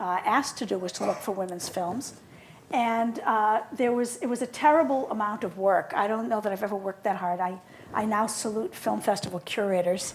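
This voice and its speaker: A woman speaks fairly quickly with a Boston accent. Her fairly high pitch shifts in an ordinary way. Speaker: film scholar and curator. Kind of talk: conversational interview.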